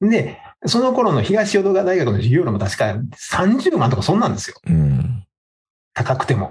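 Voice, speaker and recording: With very wide pitch swings, a man speaks through vocal fry. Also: fairly high pitch for a man, moderate pace. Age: 50s. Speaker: podcast co-host. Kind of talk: casual chat. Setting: video call.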